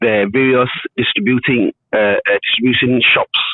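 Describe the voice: Slow-paced speech comes through with a dry, close sound and no echo. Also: man.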